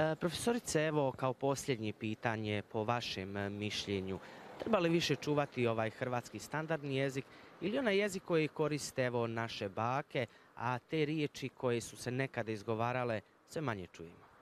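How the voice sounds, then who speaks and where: The voice moves at a moderate pace with light background noise. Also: man, lively intonation, dry sound with no echo. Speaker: morning TV show host. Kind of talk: TV interview. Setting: TV studio. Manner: formal. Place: street. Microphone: handheld.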